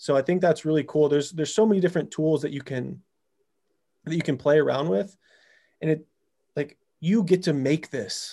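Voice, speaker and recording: On a very clean recording with a silent background, a man speaks at a fairly quick pace with long, frequent pauses. His fairly high voice has a dark, mellow tone and ordinary pitch variation. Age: 30s. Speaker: high performance coach. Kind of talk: casual interview chat.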